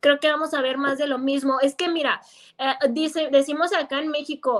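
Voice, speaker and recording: Here a woman is talking. Her pitch is high. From Mexico, Guadalajara, Jalisco. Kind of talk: casual chat. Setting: video call.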